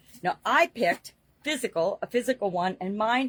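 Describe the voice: A woman speaks in a fairly bright tone with a slightly husky edge and ordinary pitch variation.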